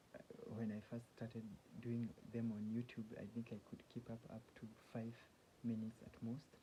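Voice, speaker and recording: A man speaks at a moderate pace in a medium pitch, his voice somewhat breathy with a dark, mellow tone. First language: not English (English is third language). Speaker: self-help vlogger. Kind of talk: casual monologue. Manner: halting, many restarts.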